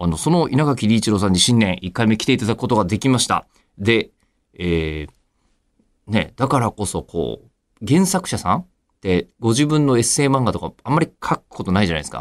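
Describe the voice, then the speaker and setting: Talking at a fairly quick pace with very wide pitch swings, a man is heard in a dry, close sound with no echo on a very clean recording with a silent background. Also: medium pitch for a man. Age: 40s. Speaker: radio announcer. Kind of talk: interview. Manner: polite.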